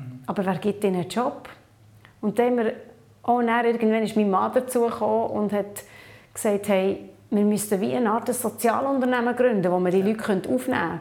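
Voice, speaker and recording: A woman's fairly high voice with ordinary pitch variation, a fairly quick pace and audible room echo. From Papua New Guinea, then Switzerland. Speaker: social entrepreneur and conference speaker. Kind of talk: interview. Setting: video interview at a conference.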